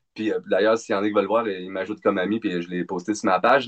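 Here a man talks at a fairly quick pace. He has a Quebec accent. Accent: Québécois French. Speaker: singer in a metal band. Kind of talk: casual interview. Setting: video call from home studio.

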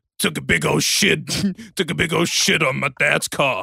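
A man puts on a raspy character voice with a fairly high pitch. He speaks at a very slow pace. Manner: gravelly.

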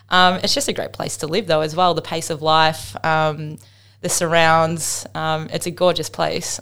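In an Australian accent, a woman speaks at a moderate pace with a very deep, low pitch. The recording is very clean, with a silent background. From Australia, Melbourne. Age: 30s. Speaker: professional cricketer. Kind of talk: casual interview.

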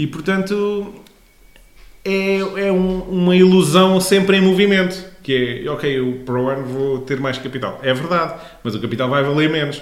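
A man talks at a moderate pace with a high pitch and ordinary pitch variation, over noticeable background noise and audible room echo. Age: 30s. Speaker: podcast host, finance explainer. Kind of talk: casual explanatory chat.

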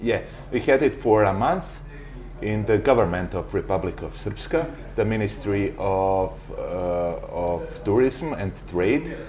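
Over clear background noise, a man delivers his words fairly slowly. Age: 20s. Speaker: tour guide. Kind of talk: interview. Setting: coffee bar.

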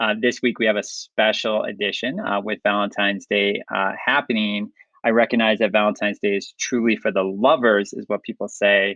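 A man speaks with a plain, everyday voice at a fairly low pitch. His pace is fairly quick, with hardly any pauses and fairly even intonation. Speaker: podcast host. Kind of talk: casual interview.

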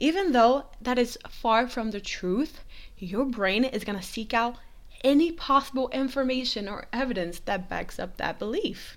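A woman speaks in a high pitch with an animated tone. She keeps a moderate pace. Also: lively intonation. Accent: non-native. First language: not English. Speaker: podcast host. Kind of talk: casual solo podcast monologue. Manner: casual, animated, profane.

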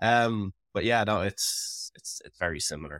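A man talks in an Irish accent. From Ireland. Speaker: podcaster and musician. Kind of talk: casual podcast conversation. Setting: remote call.

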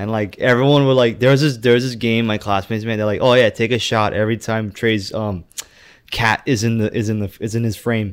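A man with an American accent talks at a fairly quick pace in a normal speaking voice. His pitch is medium and his intonation fairly even. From US. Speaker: podcast guest. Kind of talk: casual chat.

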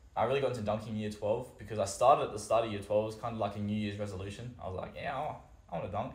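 A man with an Australian accent talks very fast at a fairly low pitch, somewhat breathy and with fairly even intonation. Audible room echo is present. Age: 20s. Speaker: vertical jump coach. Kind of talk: casual chat.

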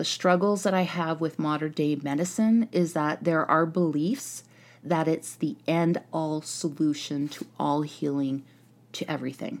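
On a very clean recording with a silent background, a woman with a very deep, low pitch speaks at a fairly slow pace with ordinary pitch variation. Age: 40s. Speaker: podcast host, wellness and healing. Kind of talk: solo podcast monologue. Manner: casual, with filler words.

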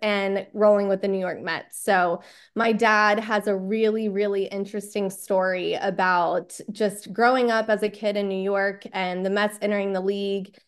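Against a quiet background, a woman with a Texan accent speaks at a fairly slow pace with medium pitch and fairly even intonation. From Texas. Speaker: sports podcast staff member. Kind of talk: casual interview chat.

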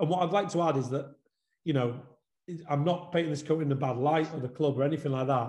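This man speaks very fast with long, frequent pauses, his fairly high-pitched voice somewhat breathy and his intonation fairly even. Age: 30s. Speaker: football coach developer. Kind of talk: webinar interview. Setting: video call.

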